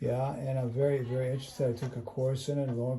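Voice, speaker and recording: A man speaks at a medium pitch in a monotone, flat way. His tone is dark, mellow and somewhat breathy. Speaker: doctor. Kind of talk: casual conversation with patient.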